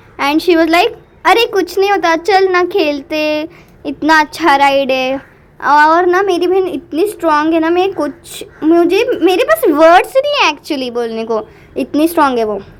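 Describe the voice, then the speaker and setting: With lively intonation, a woman speaks in an extremely high voice. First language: Marathi (speaking Hindi). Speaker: vlogger. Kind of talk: vlog voiceover commentary. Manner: animated.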